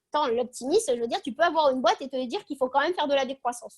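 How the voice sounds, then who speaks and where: A woman speaks in a high pitch. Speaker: speaker on optimism. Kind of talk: video call talk. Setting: video call. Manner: fast.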